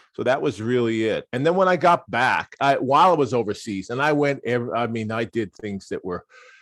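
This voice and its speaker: In an American accent, a man with medium pitch talks at a fairly quick pace with lively intonation and hardly any pauses, in a dry, close sound with no echo. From US Midwest, Wisconsin. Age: 60s. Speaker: entrepreneur. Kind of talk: podcast interview. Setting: remote call.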